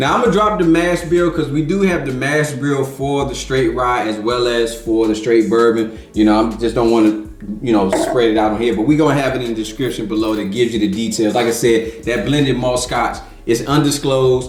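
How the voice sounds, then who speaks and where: A man talks at a fairly quick pace with a medium pitch and ordinary pitch variation. Audible room echo and noticeable background noise are present. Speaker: whiskey review podcast host. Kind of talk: casual tasting review chat. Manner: animated.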